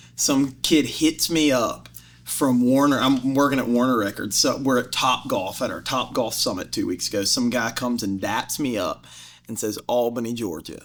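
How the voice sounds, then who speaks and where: A man with a Southern accent speaks at a medium pitch. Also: ordinary pitch variation, moderate pace. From US South. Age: 20s. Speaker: music industry executive. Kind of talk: casual chat.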